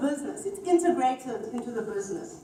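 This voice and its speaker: A woman speaks with a Zulu accent, and audible room echo surrounds her voice. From South Africa. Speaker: HR executive. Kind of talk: conference talk.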